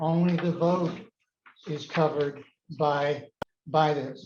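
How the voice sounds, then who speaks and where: Delivered at a very slow pace, the speech has fairly even intonation. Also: man. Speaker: town meeting moderator. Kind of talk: chairing public meeting. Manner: loud.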